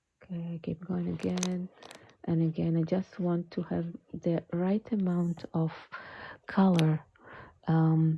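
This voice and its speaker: A soft-spoken woman with an American accent talks at a very slow pace, leaving long, frequent pauses. Her voice is somewhat breathy and fairly low, with a dark, mellow tone and flat, monotone intonation. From California. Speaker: watercolor art teacher. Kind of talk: live painting tutorial. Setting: home art studio, livestream.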